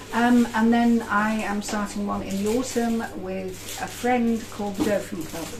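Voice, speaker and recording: Someone with an English accent speaks fairly slowly with hardly any pauses and fairly even intonation, amid audible room echo and noticeable background noise. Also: woman, fairly high pitch for a woman. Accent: very English. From Germany and England. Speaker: podcaster and author. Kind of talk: casual chat. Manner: abrupt.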